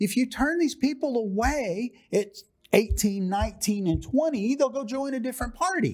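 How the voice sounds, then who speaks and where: The man's pitch is extremely high. He speaks at a fairly slow pace. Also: lively intonation. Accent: American. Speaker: author and political activist. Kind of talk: interview. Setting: studio.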